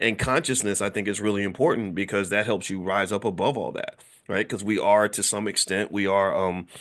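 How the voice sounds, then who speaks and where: There is a quiet background as a man speaks in an animated tone. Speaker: finance educator. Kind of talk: casual lecture. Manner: fast when excited.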